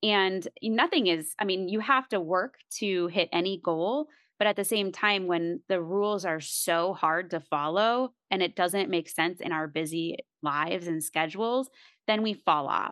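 A woman with an unremarkable speaking voice talks at a fairly slow pace, her pitch medium and its variation ordinary. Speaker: podcast host. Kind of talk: casual interview.

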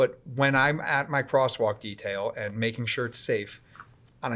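Using an ordinary speaking voice, a man speaks at a moderate pace with a medium pitch and ordinary pitch variation. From Connecticut, US (Woodbridge). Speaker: police officer. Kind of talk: interview.

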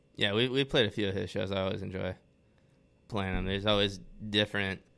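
A man speaks at a fairly quick pace with a fairly low pitch, a monotone, flat intonation and an American accent. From Atlanta, Georgia, US South. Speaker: metal band musician. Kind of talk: casual chat.

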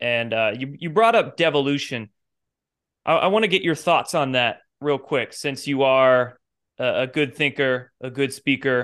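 An ordinary speaking voice from a man at a fairly high pitch moves at a moderate pace with ordinary pitch variation over a quiet background. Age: 30s. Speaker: podcast host. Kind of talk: casual chat.

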